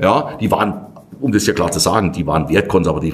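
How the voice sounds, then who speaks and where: Over noticeable background noise, a man with a very deep, low pitch races along at a very fast pace with ordinary pitch variation. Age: 50s. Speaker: winemaker. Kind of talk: casual chat. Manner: animated.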